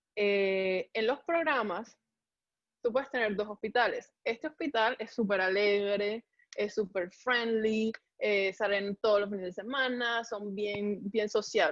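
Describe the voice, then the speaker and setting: Very slowly, a woman with a fairly high voice speaks in a dry, close recording with no echo. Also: ordinary pitch variation, quiet background. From Colombia. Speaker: medical resident (pathology). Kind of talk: interview. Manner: animated.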